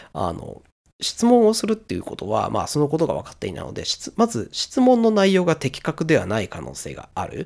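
A man at a fairly quick pace with big swings in loudness. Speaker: solo podcaster, software engineer. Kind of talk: solo monologue podcast. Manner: hesitant, many filler sounds. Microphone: noise gate clipping quiet parts of speech.

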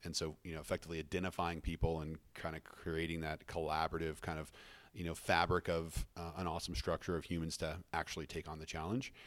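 Very fast speech comes from a man with an American accent. His very deep, low pitch stays monotone and flat. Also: very clean recording, silent background. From Colorado, US. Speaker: tech startup CEO. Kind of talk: podcast interview.

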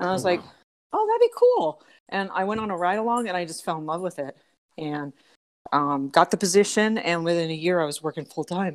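A woman's plain, everyday voice with an American accent, fairly low pitch, ordinary pitch variation and a fairly quick pace, in a very clean recording with a silent background. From Southern California. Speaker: animal protection officer. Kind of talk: casual interview.

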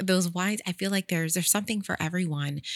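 A woman talks very fast with ordinary pitch variation in a very clean recording with a silent background. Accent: American. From Sacramento, California. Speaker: natural wine content creator. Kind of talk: casual interview. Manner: animated.

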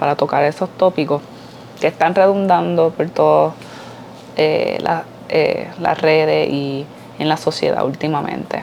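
Her voice sits at a fairly low pitch for a woman. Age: 20s. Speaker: podcaster, mother and mental health worker. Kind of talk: personal opinion monologue.

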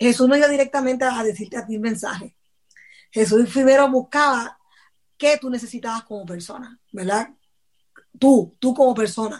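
Her pitch is high, with ordinary variation, and her loudness swings a lot. This woman keeps a moderate pace but leaves long, frequent pauses. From Puerto Rico (Patillas). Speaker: church youth leader. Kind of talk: casual interview.

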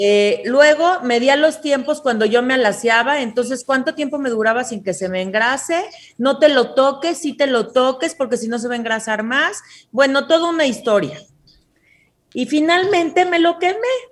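This woman speaks at a moderate pace in a high voice with lively intonation. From Mexico. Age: 30s. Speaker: hair care entrepreneur. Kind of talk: interview. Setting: video call.

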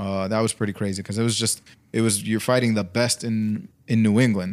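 At a moderate pace, a man with an American accent speaks at a fairly low pitch with ordinary pitch variation. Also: very clean recording, silent background. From Brooklyn, New York. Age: 30s. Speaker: professional boxer and barber. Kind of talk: casual chat.

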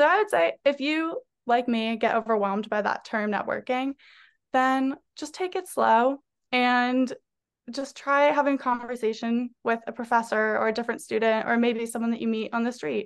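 Here a woman speaks with an American accent and a high pitch. The background is quiet. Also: ordinary pitch variation, moderate pace. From Massachusetts, North Andover near Boston. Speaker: recent graduate, future law student. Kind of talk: casual interview.

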